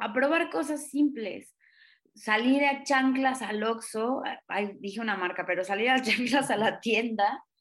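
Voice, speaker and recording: A woman speaks fairly slowly in a high pitch, with ordinary pitch variation. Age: 30s. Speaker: stand-up comedian. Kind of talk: casual interview chat. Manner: animated, energetic.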